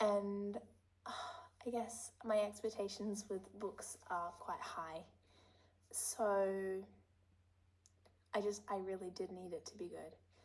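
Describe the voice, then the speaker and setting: A woman speaks at a very slow pace, her intonation fairly even. Long pauses come often. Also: medium pitch for a woman. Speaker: lifestyle vlogger. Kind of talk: casual vlog chat.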